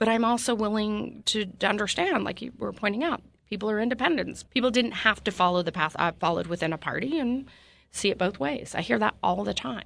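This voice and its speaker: A woman with an American accent speaks at a medium pitch and a fairly quick pace, with lively intonation and vocal fry, against a quiet background. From Utah. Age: 50s. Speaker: politician. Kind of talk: interview. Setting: studio.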